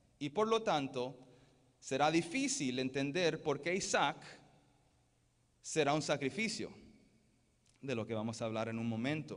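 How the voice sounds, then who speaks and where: A man talks fairly slowly, with long, frequent pauses. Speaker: pastor. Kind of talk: sermon. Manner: halting, with self-corrections.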